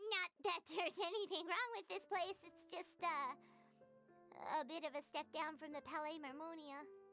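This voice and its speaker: Over clear background music, a put-on character voice at an extremely high pitch moves at a moderate pace. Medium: video game. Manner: chatty, casual.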